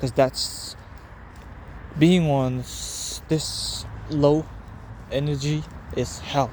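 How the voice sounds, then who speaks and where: A man speaks with a non-native accent. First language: not English. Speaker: vlogger. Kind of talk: casual personal vlog monologue. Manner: halting.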